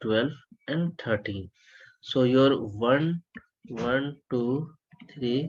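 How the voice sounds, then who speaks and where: A man speaks softly. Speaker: HVAC design instructor. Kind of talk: lecture. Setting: online webinar. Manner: soft-spoken.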